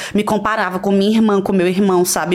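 A woman's voice sits at a medium pitch, with noticeable noise in the background. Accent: Pernambuco. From Pernambuco, Brazil (Recife, raised in Garanhuns). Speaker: influencer and reality show contestant. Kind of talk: casual interview chat.

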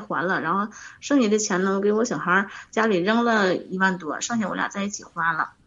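The speaker talks at a fairly quick pace with ordinary pitch variation, over noticeable background noise. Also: woman. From Northeast China, Harbin. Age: 30s. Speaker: caller seeking relationship advice. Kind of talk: phone-in advice call. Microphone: wearing earphones, somewhat quiet.

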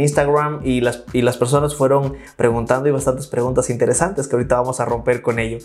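A man's voice over music in the background. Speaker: podcast host. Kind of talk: interview.

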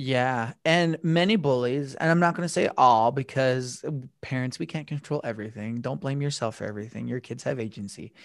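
An unremarkable speaking voice from a man with an American accent, fairly quick in pace with ordinary pitch variation, on a very clean recording with a silent background. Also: medium pitch for a man. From Utah, small town. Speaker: anti-bullying speaker. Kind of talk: interview.

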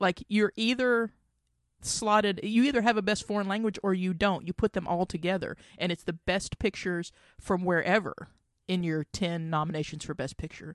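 A woman's ordinary speaking voice at medium pitch with ordinary pitch variation, dry and close with no echo against a quiet background. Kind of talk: angry rant about award snubs. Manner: indignant, heated, fast, sweary; exasperated, ranting.

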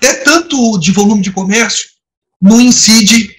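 Using ordinary pitch variation, a man speaks at a high pitch. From Brazil, Nova Friburgo (Rio de Janeiro state). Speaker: diplomat. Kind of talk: interview.

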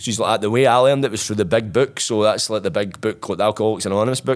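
The speaker is a man with a medium-pitched voice. His pitch varies in an ordinary way. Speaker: former prisoner turned musician. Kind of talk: interview storytelling.

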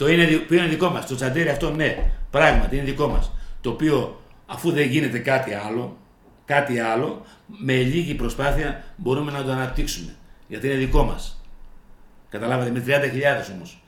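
This man has a fairly high pitch with ordinary pitch variation and a moderate pace. He leaves long, frequent pauses, and audible room echo surrounds his voice. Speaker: local politician, council candidate. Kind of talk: radio interview. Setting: radio studio. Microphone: too far from the mic.

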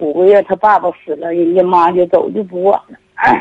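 A woman's voice carries a dark, mellow tone at a fairly low pitch. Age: 70s. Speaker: elderly caller. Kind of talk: phone-in personal story. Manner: halting, repetitive.

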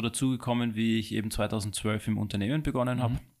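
Very fast speech from a man, with fairly even intonation. The recording is very clean, with a silent background. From Hong Kong, then Austria from 2000. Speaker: watch and bracelet businessman. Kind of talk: interview. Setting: studio.

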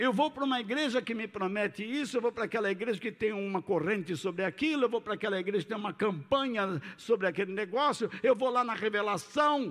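A man with a high pitch rattles along at a very fast pace, his pitch varying in an ordinary way. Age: 60s. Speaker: pastor. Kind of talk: sermon.

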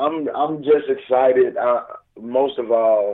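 A man speaks with a Southern US accent. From Houston, Texas area. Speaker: radio show guest, recording artist.

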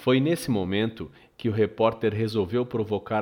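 A man speaks at a medium pitch. He has an unremarkable speaking voice. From Brazil. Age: 40s. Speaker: podcast host. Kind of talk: scripted narration.

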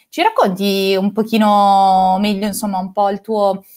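At a fairly slow pace, a woman uses an ordinary speaking voice at medium pitch. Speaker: podcast host. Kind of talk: casual interview chat. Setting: live online chat.

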